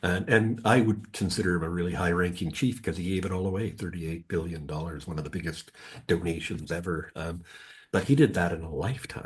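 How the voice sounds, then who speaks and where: A man speaks with a very deep, low voice that is somewhat breathy. His pace is fairly quick. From West Coast of Canada, British Columbia. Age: 60s. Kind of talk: podcast interview. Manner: conversational, many filler words.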